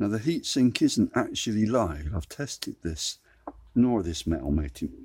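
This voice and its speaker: A man's fairly low, dark and mellow voice with vocal fry, very wide pitch swings and a fairly slow pace. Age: 60s. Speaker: DIY electronics tutor. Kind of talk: tutorial. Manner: conversational.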